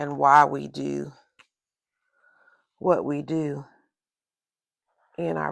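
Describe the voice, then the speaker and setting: Her loudness swinging widely, a woman with a Southern accent speaks with long, frequent pauses. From US South. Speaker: crafts and journaling video creator. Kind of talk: casual tutorial.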